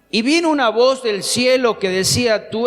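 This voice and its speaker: A man speaks at a fairly slow pace with very wide pitch swings, music playing in the background. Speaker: pastor. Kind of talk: sermon.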